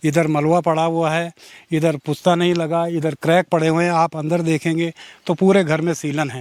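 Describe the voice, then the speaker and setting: A man's high-pitched voice, monotone and flat in intonation, in a dry, close sound with no echo. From Uttarakhand, Pauri Garhwal. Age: 60s. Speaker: retired civil official. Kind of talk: interview testimony.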